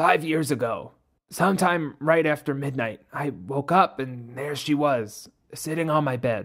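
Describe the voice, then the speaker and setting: This man is doing a put-on character voice that sounds raspy. His pitch is fairly high and his pace moderate. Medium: read story. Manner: bitter, contemptuous.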